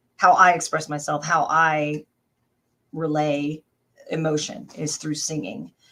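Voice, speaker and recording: An American-accented woman speaks at a fairly slow pace with long, frequent pauses, her very deep, low pitch carrying a bright, sharp tone and ordinary pitch variation on a very clean recording with a silent background. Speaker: voice actress and singer. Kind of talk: casual interview answer.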